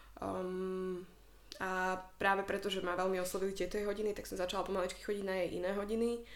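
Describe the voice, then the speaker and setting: Amid audible room echo, a woman with a medium pitch talks at a very fast pace in monotone, flat intonation. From Slovakia. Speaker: yoga instructor. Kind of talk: casual chat.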